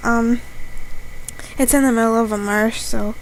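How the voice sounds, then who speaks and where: A woman speaks quietly at a fairly high pitch and a fairly slow pace, her intonation monotone and flat, with noticeable background noise. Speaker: YouTube vlogger. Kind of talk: casual vlog review. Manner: talks quietly on camera; slower pace.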